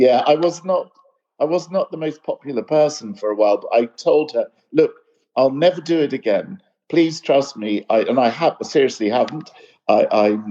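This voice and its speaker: Speaking in an English accent, a man with a dark, mellow tone uses lively intonation at a moderate pace. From UK. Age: 60s. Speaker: light artist. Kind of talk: interview conversation.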